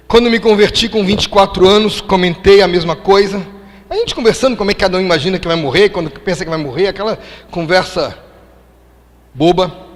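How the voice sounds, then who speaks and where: Over noticeable background noise, a man with a high-pitched voice talks at a fairly quick pace with ordinary pitch variation, broken by long, frequent pauses. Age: 60s. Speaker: preacher. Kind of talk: sermon.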